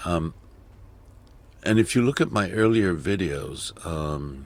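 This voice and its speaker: In a very clean recording with a silent background, a man with a very deep, low voice speaks with lively intonation. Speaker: video editing tutorial creator. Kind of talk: tutorial. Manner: slow; halting.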